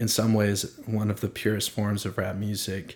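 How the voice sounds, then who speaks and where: A man with a fairly low pitch talks at a moderate pace. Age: 20s. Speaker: podcast host. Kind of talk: casual chat. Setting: home studio.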